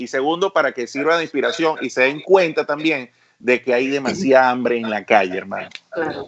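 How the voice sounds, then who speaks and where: A man speaks at a fairly quick pace, his medium pitch showing ordinary variation. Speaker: radio host, comedian. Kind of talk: casual chat.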